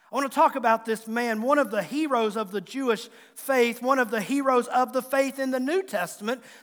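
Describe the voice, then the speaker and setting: Speaking with an American accent, a man has an extremely high pitch and ordinary pitch variation. His pace is fairly quick. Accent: Southwest Virginia accent, some still audible. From Southwest Virginia, Tazewell County. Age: 40s. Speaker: pastor. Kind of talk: sermon. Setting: church.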